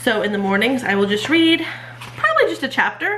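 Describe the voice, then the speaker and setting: Audible room echo hangs around a woman's voice. Beneath it sits noticeable background noise. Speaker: homeschooling mom and channel host. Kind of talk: casual show-and-tell vlog. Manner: casual with many fillers.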